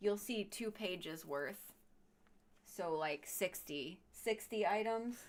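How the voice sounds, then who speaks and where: Speaking at a very slow pace, a woman has an American accent. Her pitch is medium, and her intonation is lively. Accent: Chicago accent, noticeable to others. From Chicago area, US Midwest. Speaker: artist and author. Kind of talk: casual live stream chat.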